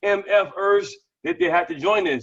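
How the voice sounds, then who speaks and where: A man speaks loudly at a high pitch. His pitch varies in an ordinary way. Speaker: network marketing team leader. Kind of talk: Q and A on a live video call. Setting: video call. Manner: fast.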